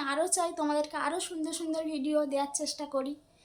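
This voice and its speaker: The woman's pitch is high. Her intonation holds fairly even. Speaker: homemaker vlogger. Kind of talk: casual talk to camera. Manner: sad, upset.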